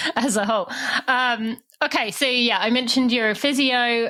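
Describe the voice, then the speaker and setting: Speaking at a moderate pace, a woman with a British accent has a bright, sharp tone. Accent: British accent, often taken for Australian. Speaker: podcast host. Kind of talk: interview podcast.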